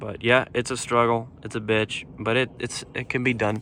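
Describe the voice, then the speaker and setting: A man at a medium pitch speaks in a monotone, flat intonation with a bright, sharp tone. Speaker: car DIY hobbyist. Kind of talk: tutorial. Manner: slow; casual, hesitant with fillers.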